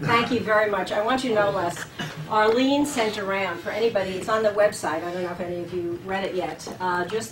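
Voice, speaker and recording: A woman speaks at a medium pitch and a fairly quick pace, with ordinary pitch variation. Audible room echo and noticeable background noise surround her voice. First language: German. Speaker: leadership scholar, seminar host. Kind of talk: speaker introduction. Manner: halting, many fillers.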